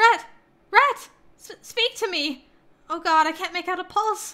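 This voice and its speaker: Putting on a squeaky character voice, a woman speaks at an extremely high pitch with lively intonation and a fairly slow pace. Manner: frantic.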